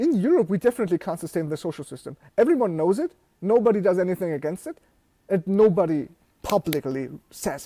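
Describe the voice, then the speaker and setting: Over a very clean recording with a silent background, a man talks at a very fast pace in a high pitch, his dark, mellow tone carrying lively intonation and big swings in loudness, all in a dry, close sound with no echo. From Germany, near Frankfurt. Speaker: software studio founder. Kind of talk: casual chat.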